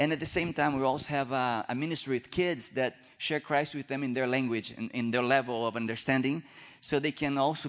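With a Brazilian accent, a man speaks at a fairly quick pace in a medium pitch with ordinary pitch variation. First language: Portuguese. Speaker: missionary. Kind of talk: sermon. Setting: church stage with audience. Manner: nervous about English.

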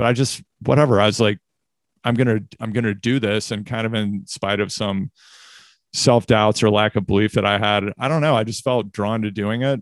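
A man's normal speaking voice, fairly low-pitched, at a moderate pace with fairly even intonation. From US Midwest, Missouri. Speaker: communications executive and podcast host. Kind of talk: casual interview.

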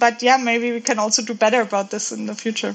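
A woman's high-pitched voice with a German accent. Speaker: software engineer. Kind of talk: casual chat. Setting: video call. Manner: halting.

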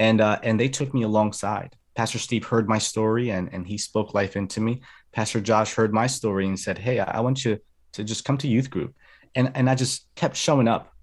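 A man talks in an unremarkable speaking voice with an American accent, at a medium pitch. His intonation stays fairly even and his pace is fairly quick. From New Jersey (Atlantic City), early childhood in Colombia. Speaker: youth minister and speaker. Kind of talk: testimony. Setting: video call.

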